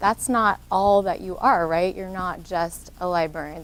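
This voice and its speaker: A woman's medium-pitched voice holds a moderate pace. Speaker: workshop presenter, social worker. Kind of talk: workshop talk. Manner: animated, interactive.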